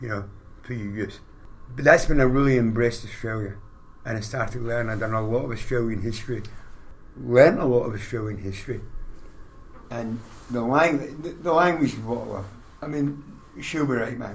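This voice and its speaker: A somewhat breathy man with long, frequent pauses, amid audible room echo. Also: medium pitch for a man, ordinary pitch variation, fairly quick pace. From Scotland. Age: 60s. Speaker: army veteran, small business owner. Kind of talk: casual chat.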